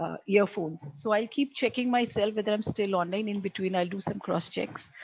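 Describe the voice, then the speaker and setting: A woman, somewhat breathy, talks at a fairly quick pace. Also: medium pitch for a woman, ordinary pitch variation. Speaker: education speaker. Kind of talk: webinar talk. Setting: video call. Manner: hesitant, many fillers. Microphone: too quiet at first.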